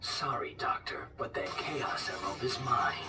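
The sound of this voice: A cartoonish character voice whispers at a moderate pace. Loud noise fills the background.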